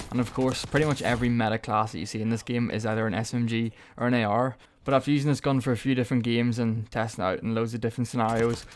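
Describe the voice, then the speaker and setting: On a very clean recording with a silent background, a man with an Irish accent talks at a very fast pace in a monotone, flat intonation. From Ireland. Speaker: gaming YouTuber. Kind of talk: gameplay commentary. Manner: casual, chatty.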